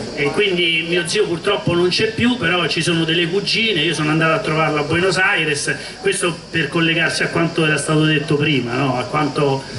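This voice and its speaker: A fairly high-pitched man with a Roman accent at a fairly quick pace, with ordinary pitch variation and very even loudness, amid audible room echo and noticeable background noise. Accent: Roman Italian. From Rome, Italy. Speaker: former police officer and regional councillor. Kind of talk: public talk at a political festival.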